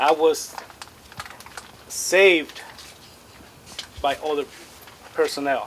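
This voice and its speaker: The man's voice is fairly high in pitch. Noticeable background noise can be heard. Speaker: school board candidate. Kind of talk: press conference statement. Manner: soft-spoken.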